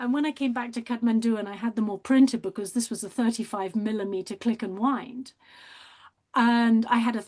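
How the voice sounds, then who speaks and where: Against a quiet background, a woman with a British accent speaks at a moderate pace and a fairly high pitch. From Britain. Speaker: artist and documentary maker. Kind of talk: interview. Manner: animated.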